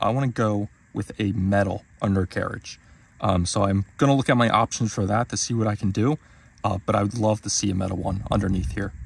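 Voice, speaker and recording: In a dry sound with no echo, a man speaks fairly quickly at a fairly low pitch, his voice somewhat breathy. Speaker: car owner vlogger. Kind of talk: casual vlog walkthrough. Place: street. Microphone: phone near.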